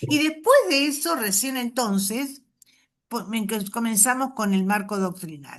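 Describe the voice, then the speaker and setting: With a fairly high pitch and lively intonation, a woman speaks at a very slow pace. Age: 70s. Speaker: catechist trainer. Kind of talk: workshop talk. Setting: video call.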